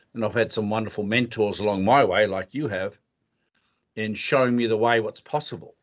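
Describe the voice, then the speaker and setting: A man with an Australian accent and medium pitch. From Western Australia. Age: 60s. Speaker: leadership consultant. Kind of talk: interview.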